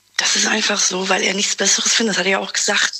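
Fairly even intonation from a woman at medium pitch, with noticeable background noise. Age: 20s. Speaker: caller. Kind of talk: phone call-in chat.

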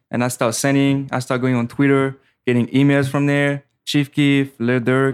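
With a French accent, a man of medium pitch speaks at a moderate pace in a monotone, flat intonation. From French Caribbean island. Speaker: music producer. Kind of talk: casual podcast interview. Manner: casual, slangy.

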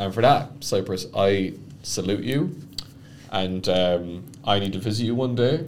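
Speaking with an Irish accent, a man uses lively intonation at a fairly low pitch and a fairly slow pace. Audible room echo and noticeable background noise fill the recording. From Ireland. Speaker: podcast co-host. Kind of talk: casual chat. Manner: hesitant, many fillers.

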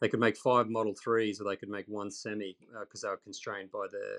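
A man with an Australian accent talks fairly quickly at a fairly low pitch, his intonation monotone and flat. The sound is dry and close, with no echo. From Australia, central Queensland. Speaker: EV reporter and YouTuber. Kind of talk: podcast interview. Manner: hesitant with frequent repetitions.

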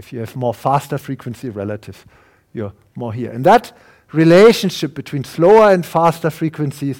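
A man at a fairly quick pace with lively intonation. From Germany. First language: German. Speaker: professor and neuroscientist. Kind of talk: lecture.

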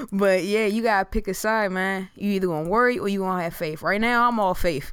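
Someone with an American accent speaks at a fairly quick pace in an animated tone. The recording is very clean, with a silent background. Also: woman. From US Mid-Atlantic, Prince George's County, Maryland (DMV). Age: 20s. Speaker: podcast co-host. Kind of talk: casual chat. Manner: animated, laughing often.

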